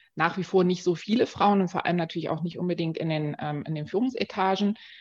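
Her unremarkable speaking voice sits fairly low for a woman, with fairly even intonation and a fairly quick pace. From Dresden, eastern Germany. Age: 40s. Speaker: marketing executive. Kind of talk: interview.

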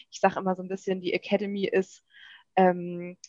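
The woman's medium-pitched voice moves at a moderate pace with monotone, flat intonation, in a dry, close sound with no echo. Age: 30s. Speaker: journalist and podcast host. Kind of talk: podcast interview.

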